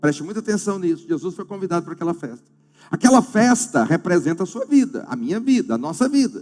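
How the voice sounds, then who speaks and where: Talking at a very fast pace, a man with a high pitch makes very wide pitch swings and big swings in loudness. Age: 50s. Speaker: pastor. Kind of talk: sermon. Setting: church.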